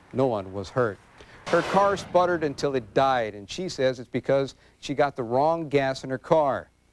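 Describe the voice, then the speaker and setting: With a plain, everyday voice, a man speaks at a fairly quick pace in a medium pitch, using ordinary pitch variation. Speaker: local TV news anchor or reporter. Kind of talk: local TV newscast delivery.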